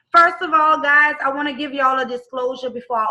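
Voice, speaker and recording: The voice has a bright, sharp tone, with a New Orleans accent. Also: woman. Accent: rough New Orleans. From US South, New Orleans. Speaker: network marketing team member. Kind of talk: testimonial.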